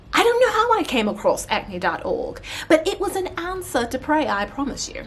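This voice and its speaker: With noticeable background noise behind it, the voice moves at a moderate pace through very wide pitch swings. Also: woman, extremely high pitch for a woman. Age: 30s. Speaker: beauty and wellness vlogger. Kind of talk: casual vlog talk.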